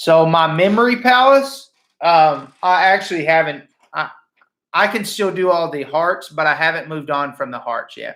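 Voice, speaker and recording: The speech goes at a moderate pace with lively intonation. Its tone is bright and sharp. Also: man, high pitch for a man. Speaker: high school math teacher. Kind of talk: lecture. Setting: live stream from home. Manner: casual, halting with fillers.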